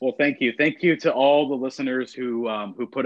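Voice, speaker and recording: A man with an American accent and a plain, everyday voice speaks at a moderate pace with ordinary pitch variation. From Texas, Austin. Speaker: architecture student discussing politics. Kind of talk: casual chat.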